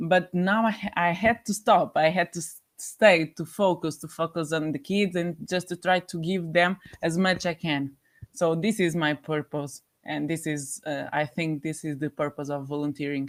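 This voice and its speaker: In a Portuguese accent, a woman with a fairly low pitch talks at a moderate pace on a very clean recording with a silent background. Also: ordinary pitch variation. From Portugal. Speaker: volunteer. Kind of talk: interview. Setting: studio. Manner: halting.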